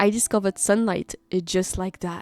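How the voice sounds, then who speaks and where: With music in the background, a woman speaks at a fairly quick pace and medium pitch with fairly even intonation, in a dry, close sound with no echo. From Brittany, France. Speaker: YouTuber interviewer. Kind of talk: narrated video intro.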